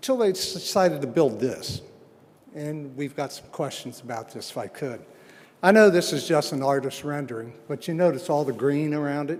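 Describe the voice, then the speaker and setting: A man with a Midwestern accent speaks at a moderate pace and fairly high pitch, with ordinary pitch variation and big swings in loudness. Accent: US Midwest (Ohio). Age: 70s. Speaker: resident giving public comment. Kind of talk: public comment at meeting.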